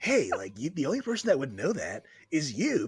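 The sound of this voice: Using a put-on character voice, a man speaks at a fairly quick pace.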